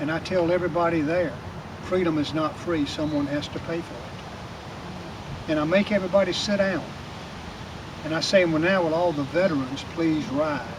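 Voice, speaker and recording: Over noticeable background noise, a man speaks at a moderate pace. His high-pitched voice keeps a fairly even intonation. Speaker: Shriner and American Legion volunteer. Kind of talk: speech at veterans meeting.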